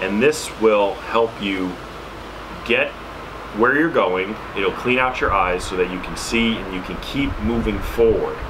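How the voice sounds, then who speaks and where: At a fairly slow pace, a man with an American accent speaks over noticeable background noise. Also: ordinary pitch variation. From New York City. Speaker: YouTuber reviewing survival gear; preparedness vlogger. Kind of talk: product tutorial. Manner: casual with frequent fillers. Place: home room.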